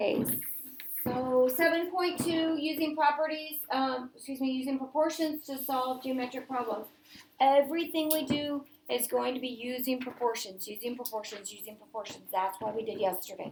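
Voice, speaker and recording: A woman speaks loudly. Her pitch is high. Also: ordinary pitch variation, moderate pace. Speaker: math teacher. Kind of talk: classroom lesson.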